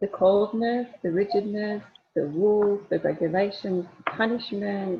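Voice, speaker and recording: A woman speaks in an unremarkable speaking voice. Her pace is fairly slow. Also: medium pitch for a woman, ordinary pitch variation. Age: 60s. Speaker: speaker on empowerment and spirituality. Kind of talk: casual chat.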